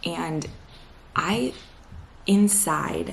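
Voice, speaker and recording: Clear background noise behind a woman's voice. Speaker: lifestyle vlogger. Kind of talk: casual talk to camera. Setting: at home. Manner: quiet. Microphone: quiet recording.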